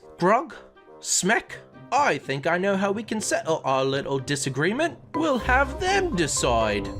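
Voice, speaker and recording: A put-on character voice is heard at middle pitch. Clear music plays in the background. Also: fairly slow pace. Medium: actual play. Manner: bossy, scornful.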